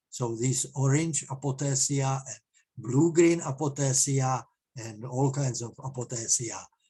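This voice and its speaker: A man speaks at medium pitch in a somewhat breathy voice. His tone is dark and mellow, and his intonation fairly even. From Czech Republic, eastern Bohemia. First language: Czech. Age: 70s. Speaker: amateur mycologist presenter. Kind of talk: presentation. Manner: halting, many fillers.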